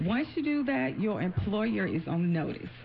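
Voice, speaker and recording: A woman talks in a somewhat breathy voice. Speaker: employment attorney. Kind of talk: radio interview. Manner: halting, repeats words.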